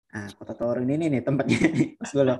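Faint music plays in the background as a man speaks in a dark, mellow tone. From West Nusa Tenggara, Indonesia. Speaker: master's student; guest. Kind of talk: presentation in online interview; webinar talk and interview answer. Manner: halting, many fillers. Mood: warm, encouraging. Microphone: video call.

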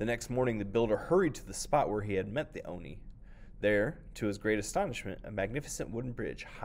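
The reading voice sounds unforced. Nothing about it is pushed.

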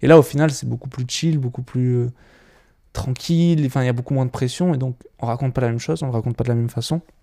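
A man with a dark, mellow tone talks at a very fast pace. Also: medium pitch for a man, ordinary pitch variation. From French Alps (Gap). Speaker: videographer and documentary filmmaker. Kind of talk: casual podcast chat.

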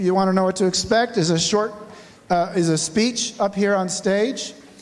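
With ordinary pitch variation, a man's high-pitched voice moves along at a moderate pace. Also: very even loudness. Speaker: event host introducing lecture series. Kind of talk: event introduction to audience. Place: hall. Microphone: handheld.

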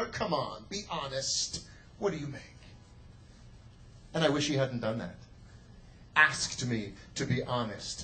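Noticeable background noise behind a man talking at a moderate speed. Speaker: slam poet and teacher. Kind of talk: live slam poetry performance. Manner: emphatic, rhythmic.

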